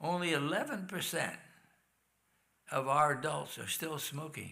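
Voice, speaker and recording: A man talks at a fairly slow pace with a fairly high pitch and a bright, sharp tone. His intonation is fairly even, and room echo can be heard. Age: 80s+. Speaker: health lecturer. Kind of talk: health talk in church.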